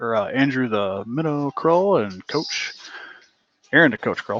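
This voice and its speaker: A man speaks at a very slow pace, with a dry, close sound and no echo. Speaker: game night commentator. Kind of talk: live commentary. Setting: game store with players. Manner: animated.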